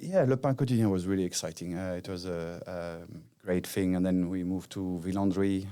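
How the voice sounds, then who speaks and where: A man with a strong French accent speaks at a moderate pace in a very deep, low pitch, in a very clean recording with a silent background. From Brittany, France. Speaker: hospitality executive. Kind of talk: casual chat. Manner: hesitant, many fillers.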